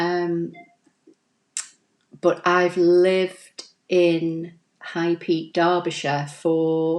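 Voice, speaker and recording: A woman with a Manchester accent speaks at a fairly low pitch and a very slow pace. Her intonation is monotone and flat, and long pauses come often. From Manchester, northern England. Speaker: crafting YouTuber. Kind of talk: live stream tutorial and viewer chat. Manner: chatty, fillers like um and you know.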